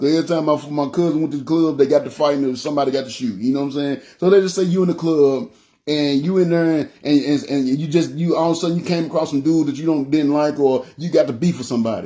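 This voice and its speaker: A man's fairly high voice, dark and mellow in tone, very fast, with fairly even intonation. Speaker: preacher. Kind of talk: sermon. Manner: loud; halting, repetitive.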